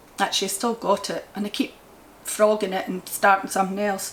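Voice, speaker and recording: A woman with a strong Scottish accent at a moderate pace, amid noticeable background noise. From Scotland. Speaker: crochet vlogger. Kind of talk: casual chat.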